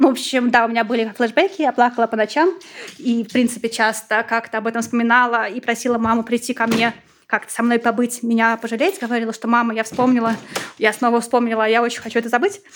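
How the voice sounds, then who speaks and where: A woman's fairly high, fairly evenly intoned voice at a very fast pace, with noticeable background noise. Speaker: special education teacher. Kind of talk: personal testimony.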